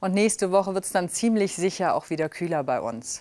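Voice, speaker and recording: A very fast pace over a quiet background. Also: woman. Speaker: TV weather presenter. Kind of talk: TV weather forecast. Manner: elegant, charming. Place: studio. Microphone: lapel.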